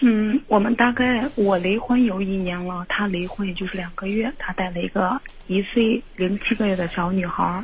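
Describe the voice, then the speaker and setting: With noticeable background noise behind her, a woman speaks at a medium pitch and moderate pace, using ordinary pitch variation and hardly any pauses. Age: 20s. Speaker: caller. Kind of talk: phone-in advice call.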